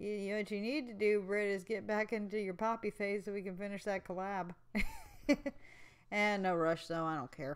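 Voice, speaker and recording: A woman speaks at a moderate pace with a medium pitch and fairly even intonation. Her speech has long, frequent pauses. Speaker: streamer. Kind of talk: casual chat. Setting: live stream while drawing. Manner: flat, uninterested sounding.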